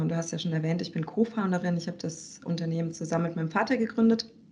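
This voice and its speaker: In an ordinary speaking voice, a woman talks at a fairly quick pace with a fairly low pitch. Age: 30s. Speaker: business consultant and co-founder. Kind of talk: casual interview.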